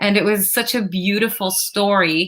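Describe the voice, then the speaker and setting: A woman with an Arabic accent speaks at a medium pitch in a bright, sharp tone. The recording is very clean, with a silent background. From Syria, then Canada as a child. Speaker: opera singer. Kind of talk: interview.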